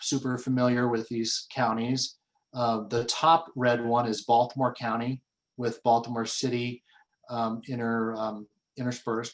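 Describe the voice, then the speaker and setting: Speaking at a fairly slow pace, a man keeps a medium pitch in a monotone, flat intonation. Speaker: business advocacy group president. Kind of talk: webinar presentation. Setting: webinar. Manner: halting, many fillers.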